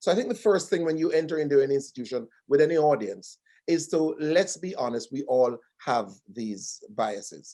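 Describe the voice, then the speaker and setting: This man with a Jamaican accent has a fairly high pitch, a dark, mellow tone and lively intonation, speaking at a moderate pace. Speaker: diversity training consultant. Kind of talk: webinar panel discussion.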